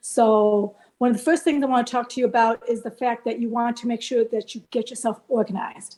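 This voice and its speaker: A woman with an unremarkable speaking voice talks at a fairly high pitch with fairly even intonation and hardly any pauses. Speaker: college admissions and scholarship consultant. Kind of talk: presentation.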